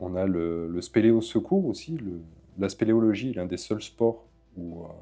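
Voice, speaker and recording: A man talks fairly slowly in a fairly low pitch. Music is playing in the background. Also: ordinary pitch variation. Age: 20s. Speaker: caver and documentary maker. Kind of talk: documentary interview.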